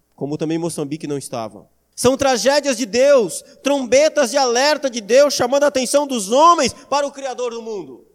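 The recording is very clean with a silent background. A man speaks at a moderate pace, his pitch swinging very widely. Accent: Brazilian. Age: 30s. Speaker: pastor. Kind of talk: sermon. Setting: church.

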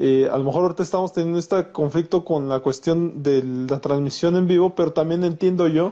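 A man's tone is dark and mellow. He talks at a moderate pace with ordinary pitch variation. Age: 40s. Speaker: psychologist and podcast host. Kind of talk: interview. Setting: Instagram live video stream.

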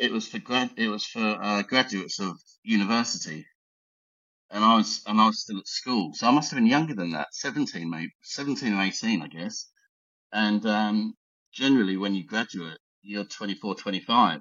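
This man speaks with an Essex accent. His pitch is fairly low, with ordinary variation. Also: moderate pace. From Essex, England. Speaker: high performance coach and art collector. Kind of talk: casual podcast interview. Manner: joking, laid-back.

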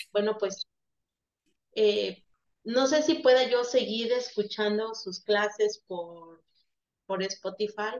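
Taking long, frequent pauses, a woman speaks very slowly in a fairly high voice with ordinary pitch variation. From Veracruz, Mexico. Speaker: nursing student. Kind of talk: farewell remarks in online class.

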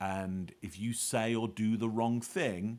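A man with a British accent talks in fairly even intonation on a very clean recording with a silent background. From UK. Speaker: body language expert and author. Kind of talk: interview.

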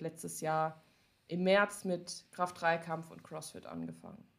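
Speaking at a fairly slow pace, a woman uses an ordinary speaking voice, fairly low in pitch with fairly even intonation. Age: 20s. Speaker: powerlifter and social media creator. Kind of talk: casual chat.

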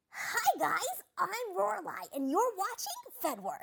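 This put-on character voice sits at an extremely high pitch and sounds raspy. It moves at a fairly slow pace.

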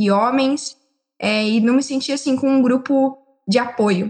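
A woman with an unremarkable speaking voice talks at a moderate pace. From São Paulo state, Brazil (Limeira). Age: 19. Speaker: geology student. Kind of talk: casual chat.

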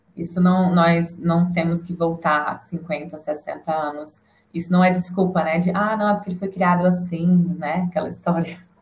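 A woman speaks at a fairly slow pace with a fairly low pitch. Her somewhat breathy voice stays monotone and flat. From Brasília. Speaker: psychologist. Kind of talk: casual chat.

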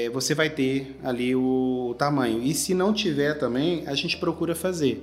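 A man with a normal speaking voice, fairly high pitched, fairly slow, and fairly even in intonation. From Brazil, Goiás (Goiânia). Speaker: menswear store manager. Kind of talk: interview.

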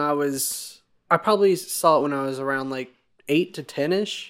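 Captured in a very clean recording with a silent background, a man talks in a normal speaking voice at a fairly high pitch. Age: 20s. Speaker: podcast host. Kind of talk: casual chat.

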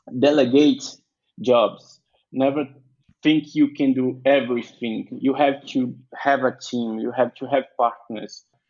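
Speaking with a Portuguese accent, a man uses medium pitch and fairly even intonation. His pace is fairly slow. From Brazil, Bahia. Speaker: entrepreneur and web developer. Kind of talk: interview. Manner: halting.

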